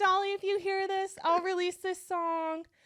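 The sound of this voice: This squeaky, put-on character voice moves at a moderate pace with a monotone, flat intonation. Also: woman, extremely high pitch for a woman.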